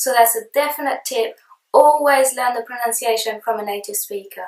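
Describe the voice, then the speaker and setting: A woman's high-pitched voice with a French accent, at a moderate pace with ordinary pitch variation. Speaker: language teacher. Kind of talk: tutorial.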